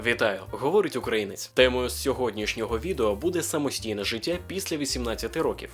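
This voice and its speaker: With music in the background, a man speaks at a fairly quick pace. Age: 20s. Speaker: aspiring voice-over artist. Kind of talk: casual talk to camera.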